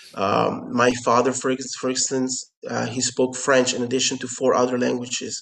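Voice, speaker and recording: Over noticeable background noise, a man speaks at a moderate pace and medium pitch in a monotone, flat intonation with hardly any pauses. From Curacao, Caribbean. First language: Papiamento. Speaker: company founder and CEO. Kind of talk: interview. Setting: remote call. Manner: halting, many fillers and repetitions.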